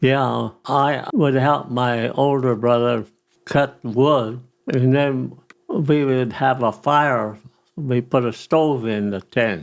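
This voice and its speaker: Here a man speaks at a medium pitch with fairly even intonation. His pace is very slow. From Colorado, USA. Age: 80s+. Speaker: retired landscaping business owner. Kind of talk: interview answer.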